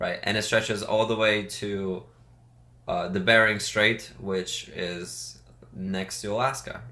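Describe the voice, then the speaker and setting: A man with a Russian accent speaks very slowly in a fairly low, bright and sharp voice with ordinary pitch variation. Audible room echo surrounds him. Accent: Russian accent, noticeable. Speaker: podcast co-host. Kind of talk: casual chat. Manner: halting.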